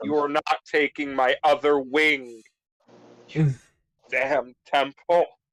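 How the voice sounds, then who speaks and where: In a put-on character voice, someone shouts at a low-to-middle pitch and a fairly slow pace, with long, frequent pauses. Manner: screaming, defiant.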